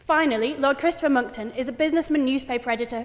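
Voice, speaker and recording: A woman talks at a very fast pace with a high pitch and ordinary pitch variation. Noticeable background noise runs behind her. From northern England, West Yorkshire near Huddersfield. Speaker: student debater. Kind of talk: formal debate speech. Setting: debating chamber with audience.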